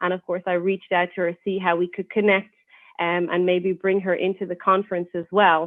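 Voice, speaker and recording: Quick-paced and flat in intonation, a woman speaks in an Irish accent. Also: medium pitch for a woman. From Ireland. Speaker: university lecturer. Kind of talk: podcast interview. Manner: hesitant, many fillers.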